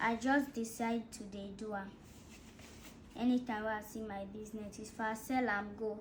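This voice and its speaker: Amid noticeable background noise and audible room echo, a woman with a fairly high pitch speaks at a moderate pace in monotone, flat intonation, leaving long, frequent pauses. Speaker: dancer. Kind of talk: casual chat.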